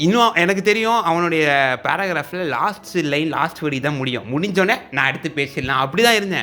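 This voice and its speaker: Over music in the background, a man with a fairly high pitch speaks with lively intonation. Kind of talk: casual talk to camera.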